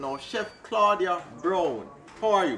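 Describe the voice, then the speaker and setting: A man with a Jamaican accent speaks in a raised, projected voice at a high pitch. His pace is moderate, and there is light background noise. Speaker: travel vlogger. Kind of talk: travel vlog interview. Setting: outdoors at a community yard. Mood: friendly, upbeat. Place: open country.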